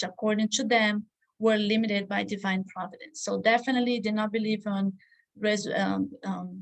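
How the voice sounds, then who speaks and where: A woman talks with a non-native accent and a somewhat breathy quality. Her intonation stays fairly even. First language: not English. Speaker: study group teacher. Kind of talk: lecture. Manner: halting.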